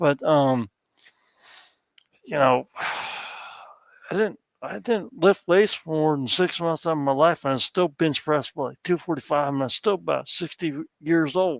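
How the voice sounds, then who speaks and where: A man with a fairly high pitch speaks at a moderate pace with ordinary pitch variation. The sound is dry and close with no echo, and long pauses come often. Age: 60s. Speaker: guest on live stream. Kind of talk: casual chat. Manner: halting.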